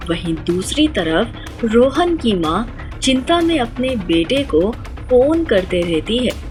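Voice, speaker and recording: Over music in the background, a woman with fairly high pitch speaks with very wide pitch swings and hardly any pauses. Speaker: voice actor. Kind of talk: children's story narration.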